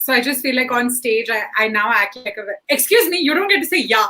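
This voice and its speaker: In a raised, projected voice, a woman talks at a moderate pace with a high pitch, a bright, sharp, animated tone and very wide pitch swings. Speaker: stand-up comedian. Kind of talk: panel discussion. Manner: loud.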